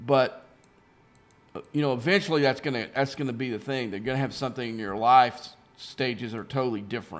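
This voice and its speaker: Over background music, a man talks at a fairly quick pace and a medium pitch with ordinary pitch variation. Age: 60s. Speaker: gaming streamer. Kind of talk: casual chat while live-streaming gameplay. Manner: halting, many restarts and fillers.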